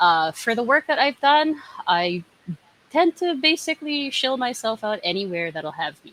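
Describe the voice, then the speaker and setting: A woman's high voice has very wide pitch swings and big swings in loudness. The sound is dry and close with no echo, and noticeable background noise is present. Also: moderate pace. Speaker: game designer and community manager. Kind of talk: panel discussion.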